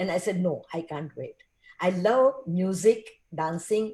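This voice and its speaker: A somewhat breathy, dark, mellow tone at a fairly slow pace. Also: woman. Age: 70s. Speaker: film actress. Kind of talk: casual chat.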